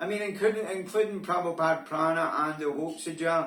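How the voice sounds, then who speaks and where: A man with a Scottish accent and fairly high pitch speaks over noticeable background noise. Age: 60s. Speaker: vlogger. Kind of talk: casual monologue. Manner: hesitant, filler-heavy.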